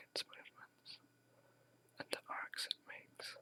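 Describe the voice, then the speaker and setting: A whispering voice moves at a fairly slow pace in a soothing tone. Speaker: ASMR whisper meditation guide. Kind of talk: guided meditation / sleep hypnosis script. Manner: whispered, slow, soothing.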